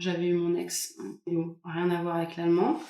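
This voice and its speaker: A woman speaks at a very slow pace. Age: 20s. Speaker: podcast guest. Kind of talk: interview answer.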